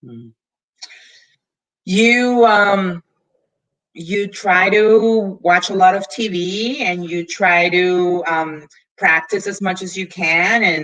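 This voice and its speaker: Very slow speech with long, frequent pauses swings widely in loudness. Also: woman, medium pitch for a woman, ordinary pitch variation. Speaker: government affairs executive, guest speaker. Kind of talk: live Q&A webinar.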